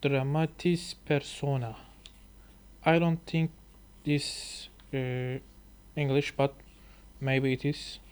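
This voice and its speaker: With a Turkish accent, a man speaks at a very slow pace and fairly high pitch. His intonation is monotone and flat, with long, frequent pauses. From Turkey. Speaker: language learner and YouTuber. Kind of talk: reading aloud with commentary. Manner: halting.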